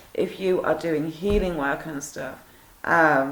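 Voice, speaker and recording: Her voice sits very deep and low for a woman, with fairly even intonation at a fairly slow pace. Audible room echo and noticeable background noise surround the recording. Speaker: survivor vlogger sharing experiences. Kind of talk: personal monologue to camera. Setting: home video at night. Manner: hesitant, many fillers.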